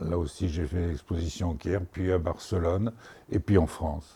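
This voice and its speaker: A man's very deep, low voice, somewhat breathy, with a dark, mellow tone. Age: 70s. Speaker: painter. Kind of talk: interview. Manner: halting.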